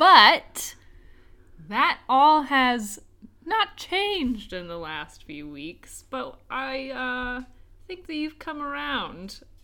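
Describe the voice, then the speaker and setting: A woman with an American accent, high-pitched and bright, sharp in tone, raised and projected, at a very slow pace, with very wide pitch swings and big swings in loudness. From United States. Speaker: podcast co-host. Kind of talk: casual chat. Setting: at home.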